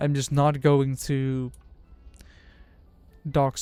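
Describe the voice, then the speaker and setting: A man with a Dutch accent and a fairly high pitch, with music in the background. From Netherlands. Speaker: streamer. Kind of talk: casual chat.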